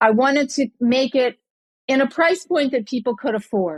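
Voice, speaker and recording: The woman's intonation is lively, and the sound is dry and close with no echo. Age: 60s. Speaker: entrepreneur. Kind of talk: interview. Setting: podcast.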